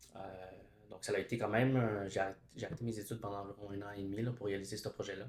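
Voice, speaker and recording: A man speaks at a very fast pace with a fairly low pitch. His voice is somewhat breathy, and his intonation stays fairly even. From Quebec, Montreal. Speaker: education student and teacher. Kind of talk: casual chat. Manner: halting, many hesitations.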